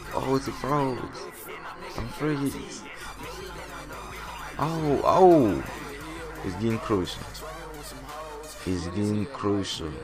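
Over music in the background, a man at a medium pitch talks at a very slow pace with very wide pitch swings and long, frequent pauses. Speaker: YouTuber making software tutorial. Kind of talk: casual screen-recording tutorial talk. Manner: relaxed, casual.

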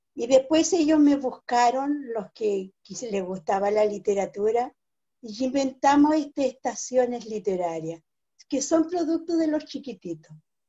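Against a quiet background, a woman with a Chilean accent speaks in a high pitch at a fairly slow pace, her pitch swinging very widely. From Chile, Biobío region (Arauco); Biobío region, Chile. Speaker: writer and cultural manager; interviewee. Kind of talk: interview; interview answer. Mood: warm, grateful. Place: home room. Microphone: video call.

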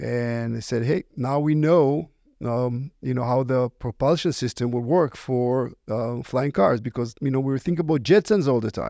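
A man with an Israeli accent speaks in a dark, mellow tone with vocal fry. His pitch varies in an ordinary way. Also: medium pitch for a man, moderate pace.

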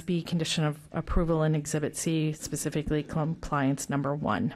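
At a moderate pace, a woman talks in a very deep, low voice with fairly even intonation. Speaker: county zoning staff. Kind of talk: staff report at public hearing. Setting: public hearing room. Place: hall. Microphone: podium.

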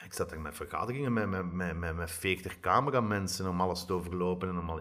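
Against a quiet background, a man with a very deep, low pitch talks at a fairly quick pace with fairly even intonation. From Flanders. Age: 40s. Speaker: TV director and screenwriter; podcast guest. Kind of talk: interview. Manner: halting. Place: home room. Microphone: handheld.

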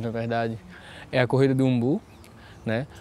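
A man speaks in a dark, mellow tone. The sound is dry with no echo. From Brazil, Pernambuco (Pankararu village); Pernambuco. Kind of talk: interview testimony. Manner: hesitant, with fillers. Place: garden. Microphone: lapel.

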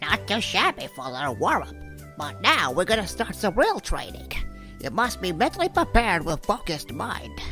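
Someone does a put-on character voice at a moderate pace. Clear music plays in the background. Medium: dub.

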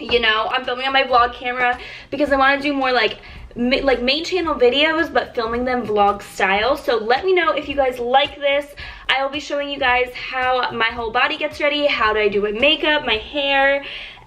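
A woman speaks in a raised, projected voice at a fairly quick pace with ordinary pitch variation. Faint music plays in the background. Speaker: beauty vlogger. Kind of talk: casual vlog chat. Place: home room. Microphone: phone near.

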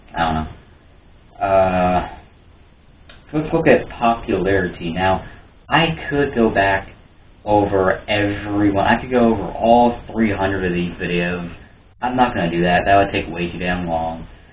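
A man with a fairly low voice speaks at a moderate pace with ordinary pitch variation. Long, frequent pauses break up his speech over light background noise. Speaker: YouTuber. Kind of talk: casual solo vlog commentary.

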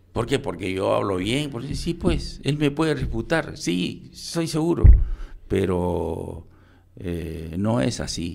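A man's very deep, low voice with vocal fry, very wide pitch swings and a very slow pace. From Peru (provinces). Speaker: retired police general; interview guest. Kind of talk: radio interview. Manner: halting. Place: studio. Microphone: studio mic.

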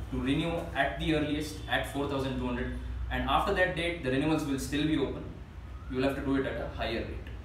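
A man talks at a very fast pace, with light background noise and audible echo from the room. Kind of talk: meeting announcement. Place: meeting room. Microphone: camera far.

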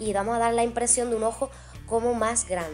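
Faint music plays in the background while a woman speaks at a moderate pace. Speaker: makeup vlogger. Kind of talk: tutorial. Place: home room. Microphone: camera far.

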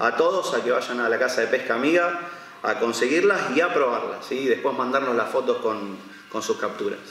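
Delivered at a moderate pace, the voice comes with audible room echo and light background noise. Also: man. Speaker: presenter. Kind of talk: product presentation. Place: shop.

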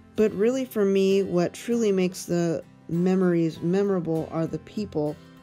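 A woman with a fairly low voice speaks at a fairly slow pace while music plays in the background. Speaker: mobility impaired skier. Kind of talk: personal testimonial.

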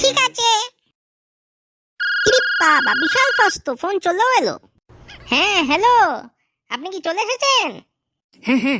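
A woman performs a cartoonish character voice at an extremely high pitch. Her pitch swings very widely as she talks at a moderate pace. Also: dry, close sound with no echo. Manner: flustered, impatient.

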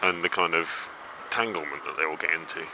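Over noticeable background noise, a man talks at a fairly quick pace, the sound dry with no echo. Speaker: motorbike rider vlogger. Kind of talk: casual vlog chat. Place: motorbike. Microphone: helmet.

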